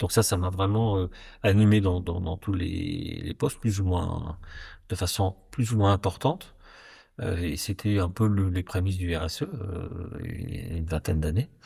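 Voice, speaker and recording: Very deep and low in pitch, a man's dark, mellow, somewhat breathy voice moves at a fairly slow pace on a very clean recording with a silent background. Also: ordinary pitch variation. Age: 60s. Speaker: company executive and board member. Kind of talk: interview conversation. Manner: hesitant, many fillers.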